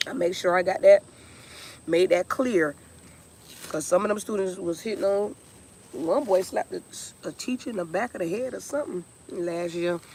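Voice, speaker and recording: The voice has an animated tone, a moderate pace and ordinary pitch variation, with noticeable background noise. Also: woman. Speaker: music teacher and vlogger. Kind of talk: casual vlog chat. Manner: loud.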